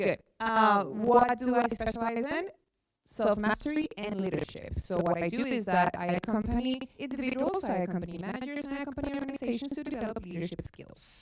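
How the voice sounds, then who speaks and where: In a Venezuelan accent, a woman talks at a fairly quick pace with fairly high pitch and very wide pitch swings. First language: Spanish. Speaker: psychologist and coach. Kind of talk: presentation. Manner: interactive.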